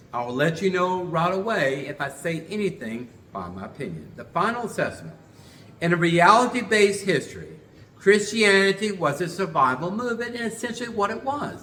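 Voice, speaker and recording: A man uses a raised, projected voice at a high pitch. Audible room echo surrounds him. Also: lively intonation, big swings in loudness. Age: 60s. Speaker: religious teacher and show host. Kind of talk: lecture. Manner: halting.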